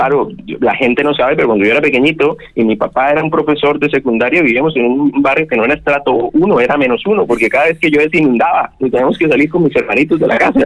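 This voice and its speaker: A man talks at a very fast pace, his pitch fairly high. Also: ordinary pitch variation. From Colombia, Santander (Bucaramanga). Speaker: gynecologist, fertility specialist. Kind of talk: radio interview.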